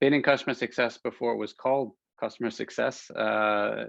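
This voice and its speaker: Here a man talks with an American accent. His intonation is fairly even and his pace moderate. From United States. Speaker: business executive. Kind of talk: webinar conversation. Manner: halting.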